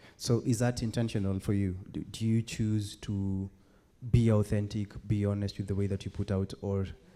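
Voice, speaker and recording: At a moderate pace, a dark, mellow tone holds a monotone, flat intonation in a very clean recording with a silent background. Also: man. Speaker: interviewer at open mic event. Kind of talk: interview.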